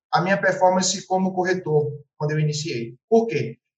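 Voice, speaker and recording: A man's high-pitched voice at a fairly quick pace. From Pernambuco, Brazil (Carpina, Recife). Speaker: real estate agent. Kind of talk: podcast interview. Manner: animated.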